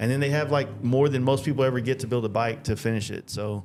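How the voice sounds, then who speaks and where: Fairly even intonation marks a man's very fast speech. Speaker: podcast host and motorcycle painter. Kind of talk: casual chat. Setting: studio. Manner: halting with filler words.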